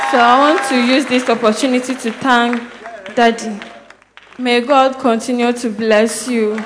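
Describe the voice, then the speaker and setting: Over crowd noise in the background, a woman talks at a high pitch and fairly slow pace in a monotone, flat intonation. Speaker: church member giving testimony. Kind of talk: personal testimony.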